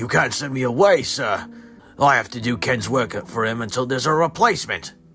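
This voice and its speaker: Over clear background music, a man puts on a raspy character voice, raised and projected. He speaks at a fairly quick pace and a medium pitch. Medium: read story.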